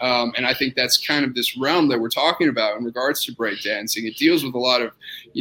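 Speaking with an American accent, a man goes at a very fast pace with a medium pitch and ordinary pitch variation. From Austin, Texas. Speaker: orthopedic surgeon. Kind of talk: casual interview.

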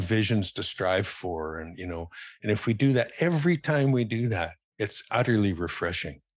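A man with a western Canadian accent, fairly low in pitch, lively intonation, moderate pace. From Calgary, western Canada. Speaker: philanthropist and former lawyer. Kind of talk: casual interview chat.

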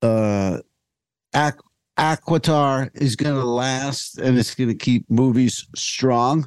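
Man at a very slow pace, medium pitch, fairly even intonation, in a dry, close sound with no echo. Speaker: podcast host. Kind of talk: casual comedy chat. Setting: video call.

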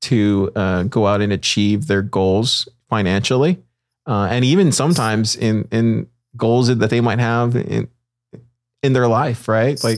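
A man's medium-pitched, a plain, everyday voice with ordinary pitch variation, on a very clean recording over a silent background. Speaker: podcast host. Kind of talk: casual interview chat.

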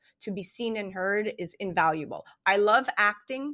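A woman of medium pitch speaks at a moderate pace in a bright, sharp tone. The recording is very clean with a silent background, dry and close with no echo. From Montreal, Canada. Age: 30s. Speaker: actress and radio host. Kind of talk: casual chat.

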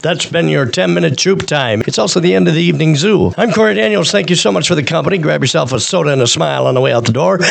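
With noticeable background noise behind him, a man with a fairly high pitch talks at a very fast pace in an animated tone, with very wide pitch swings, very even loudness and hardly any pauses. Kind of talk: radio DJ patter with comedy bits. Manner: animated, jokey, showy radio-host delivery.

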